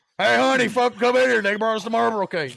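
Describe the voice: A man's put-on character voice, raspy and high-pitched, at a very fast pace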